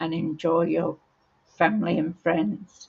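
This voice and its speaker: A woman speaks with an Australian accent and a fairly low pitch. Her voice has some vocal fry. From Australia, Brisbane. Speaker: paper crafting demonstrator. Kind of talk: live crafting tutorial. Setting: livestream. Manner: hesitant, many ums.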